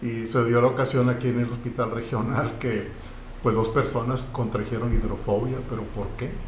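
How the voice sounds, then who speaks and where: Over noticeable background noise and audible room echo, a man speaks at a medium pitch and moderate pace in a monotone, flat intonation. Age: 60s. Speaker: lawyer and university lecturer. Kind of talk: podcast interview.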